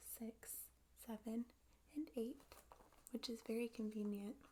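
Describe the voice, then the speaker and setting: Soft-spoken and very slow, a woman talks in a fairly high voice with a dark, mellow tone and flat, monotone intonation. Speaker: ASMR creator. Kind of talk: ASMR show and tell.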